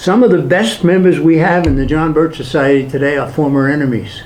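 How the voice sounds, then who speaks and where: The speaker has a New York accent, heard over noticeable background noise with audible room echo. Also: man. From Brooklyn, New York. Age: 80s+. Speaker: political activist speaker. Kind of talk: public talk with Q&A. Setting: hall with live audience.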